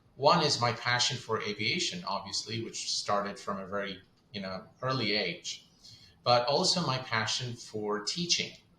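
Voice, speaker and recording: Over noticeable background noise and audible room echo, a man of medium pitch speaks at a moderate pace with lively intonation. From Kuwait. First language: Arabic. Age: 40s. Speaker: flight sim content creator. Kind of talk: interview.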